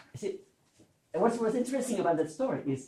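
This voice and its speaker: A man's voice with a French accent. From Switzerland, French-speaking. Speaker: learning theorist giving keynote. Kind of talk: conference talk. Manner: conversational, many fillers and repetitions.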